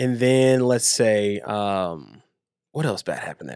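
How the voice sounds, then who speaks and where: A man's animated voice on a very clean recording with a silent background. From Texas, Waco. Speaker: community engagement manager, fitness coach. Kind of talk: casual interview chat.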